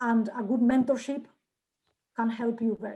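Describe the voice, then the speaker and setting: With a Spanish accent, a woman speaks at a moderate pace in a high voice with a dark, mellow tone. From Spain. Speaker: journal editor. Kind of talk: Q&A session. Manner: halting.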